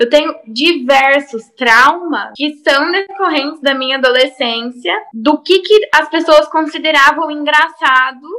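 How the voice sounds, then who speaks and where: Raising and projecting her high-pitched voice, a woman speaks at a fairly slow pace with ordinary pitch variation and hardly any pauses. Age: 20s. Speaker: lawyer. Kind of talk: casual chat. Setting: video call.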